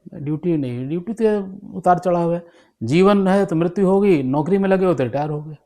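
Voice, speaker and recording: High-pitched for a man yet dark and mellow in tone, with ordinary pitch variation against a quiet background. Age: 60s. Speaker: retired police officer. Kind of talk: interview. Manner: halting.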